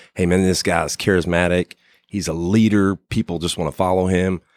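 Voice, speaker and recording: At a moderate pace, a man with a very deep, low pitch and an American accent comes through with a dry, close sound and no echo. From West Virginia, Huntington. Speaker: air force senior NCO, aircraft maintainer. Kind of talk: interview conversation. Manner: halting with many fillers.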